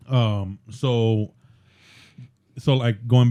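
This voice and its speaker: The man's voice sits at a medium pitch. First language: Spanish. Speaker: podcast co-host. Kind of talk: casual chat. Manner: halting, many fillers.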